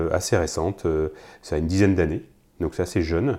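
A man speaks with a very deep, low pitch. His tone is dark and mellow, with fairly even intonation. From Loire Valley, France. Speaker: winemaker. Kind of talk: casual interview.

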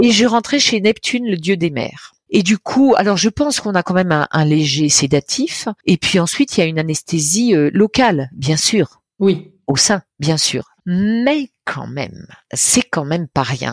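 On a very clean recording with a silent background and a dry, close sound with no echo, a woman speaks at a fairly slow pace with very wide pitch swings, an animated, playful tone and hardly any pauses. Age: 60s. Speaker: storyteller and cancer survivor. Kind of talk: personal testimony, telling her cancer story like a tale. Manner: animated, playful and humorous, dramatic with vivid imagery; expressive storyteller with laughing asides.

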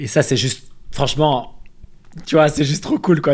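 Ordinary pitch variation marks a man's very fast delivery. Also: very clean recording, silent background. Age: 30s. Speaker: nutrition and health content creator. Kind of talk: casual interview chat.

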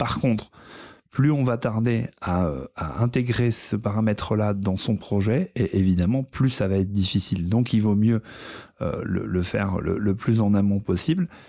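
In a very clean recording with a silent background, a man talks at a fairly slow pace in a fairly low, dark and mellow voice, with very even loudness and ordinary pitch variation. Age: 30s. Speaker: visually impaired diversity and inclusion speaker. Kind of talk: interview. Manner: hesitant, many fillers and repetitions.

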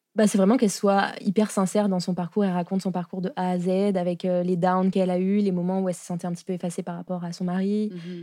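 A woman talks at a very fast pace with hardly any pauses. Her tone is dark and mellow, her intonation monotone and flat. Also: medium pitch for a woman. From France. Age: 20s. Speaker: architect and entrepreneur. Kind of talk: casual interview. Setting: studio.

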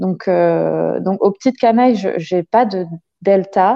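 Her voice sits at a medium pitch. The woman speaks at a fairly slow pace. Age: 30s. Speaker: childcare worker. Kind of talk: casual interview. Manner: hesitant, many fillers.

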